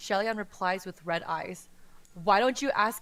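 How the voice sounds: The voice reads aloud in a natural way.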